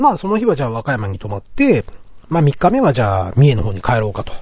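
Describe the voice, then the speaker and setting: At a fairly quick pace, a man talks in a somewhat breathy voice of fairly high pitch that swings very widely. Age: middle-aged. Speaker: podcast host. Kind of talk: casual chat.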